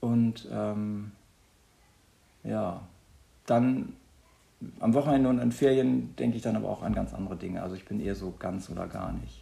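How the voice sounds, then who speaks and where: The pace is moderate. A man talks with long pauses that come often. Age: 50s. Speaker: teacher. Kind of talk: interview.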